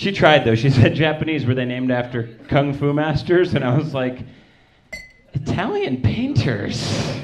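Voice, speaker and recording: In an American accent, a man with a fairly high pitch speaks at a moderate pace with ordinary pitch variation. The room echo is audible and the background noise noticeable. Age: 30s. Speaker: stand-up comedian. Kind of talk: stand-up. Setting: stage with audience.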